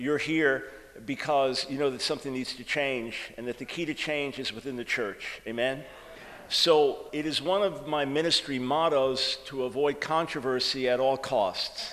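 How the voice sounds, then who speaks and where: A man's fairly high voice in a New York accent with fairly even intonation, amid noticeable background noise and audible room echo. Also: moderate pace. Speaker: author and preacher. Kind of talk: sermon. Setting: church conference with audience.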